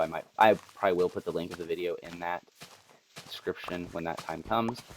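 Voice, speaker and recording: Noticeable background noise and a man's fairly quick pace. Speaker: gaming YouTuber. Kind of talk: gameplay commentary. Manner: casual with many fillers and restarts.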